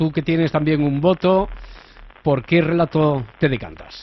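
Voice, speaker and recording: Noticeable background noise runs under this recording. A man speaks with a fairly high pitch. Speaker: radio host. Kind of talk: radio magazine show.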